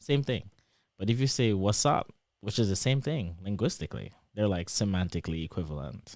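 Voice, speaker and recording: With lively intonation, a man speaks in a very deep, low pitch. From Trinidad and Tobago. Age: 20s. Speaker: PhD student, former track athlete. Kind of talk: casual interview.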